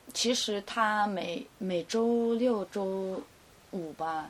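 A woman talks in a medium pitch, showing ordinary pitch variation. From Wenzhou, China. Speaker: model and bar worker. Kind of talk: casual chat. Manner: cool, detached.

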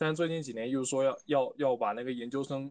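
A man with an unremarkable speaking voice talks fairly quickly at medium pitch, his intonation varying in an ordinary way. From Fujian, China. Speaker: university student. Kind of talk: casual chat.

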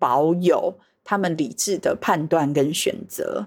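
At a very slow pace, a woman with a Taiwanese accent speaks in a very clean recording with a silent background. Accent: Taiwanese Mandarin. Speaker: Montessori teacher. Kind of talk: casual conversation.

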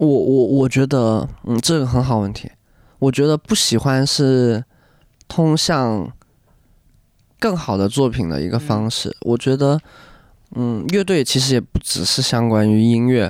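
Against a silent background on a very clean recording, a man speaks fairly slowly at a medium pitch, leaving long, frequent pauses. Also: ordinary pitch variation. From Guangdong, China (Hakka). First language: Hakka and Cantonese (speaking Chinese). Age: 20s. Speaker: band lead singer. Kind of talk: casual chat.

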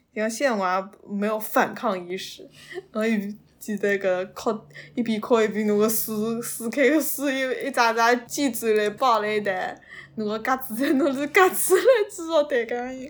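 A woman with fairly high pitch and ordinary pitch variation speaks at a fairly slow pace. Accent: Suzhou. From Suzhou, China. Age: 20s. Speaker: podcast guest, graduate student. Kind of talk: personal storytelling in Suzhou dialect. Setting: face-to-face recording.

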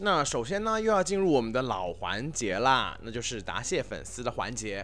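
A man's voice with very wide pitch swings over music in the background. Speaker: podcast host. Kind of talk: casual chat.

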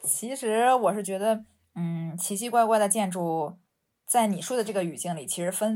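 In a Beijing accent, a woman speaks at a moderate pace with ordinary pitch variation. The recording is very clean, with a silent background. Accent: Beijing Mandarin with erhua. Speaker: architect and urban researcher. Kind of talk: casual chat. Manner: hesitant, many fillers.

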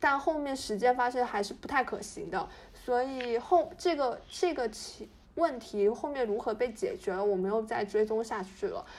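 With very wide pitch swings, a woman speaks at a high pitch and a moderate pace. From Fujian, China. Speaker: podcast co-host. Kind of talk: casual chat.

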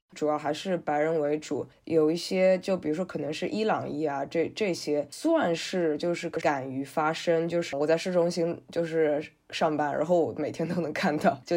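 The tone is dark and mellow. Pitch varies in an ordinary way at a moderate pace. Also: woman. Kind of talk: podcast interview.

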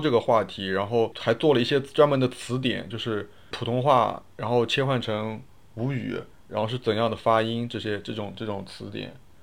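Fairly even intonation in a plain, everyday voice. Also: man. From Wuxi, Jiangsu, China. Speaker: podcast guest. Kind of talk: casual chat.

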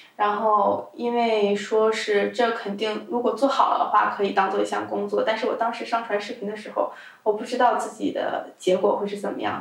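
A woman talks at a moderate pace with hardly any pauses. Audible room echo and noticeable background noise come through. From China. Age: 20s. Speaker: adult video content creator. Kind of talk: casual interview.

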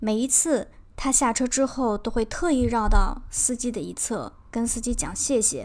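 On a very clean recording with a silent background, a woman speaks at a high pitch and fairly slow pace. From China. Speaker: podcast co-host. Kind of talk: scripted narration; casual chat. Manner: slightly halting, many fillers.

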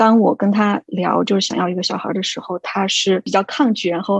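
The speaker uses ordinary pitch variation at a moderate pace. It is a normal speaking voice. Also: woman, dry, close sound with no echo. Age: 30s. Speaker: expectant mother, education administrator. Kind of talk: casual group chat. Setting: online group recording.

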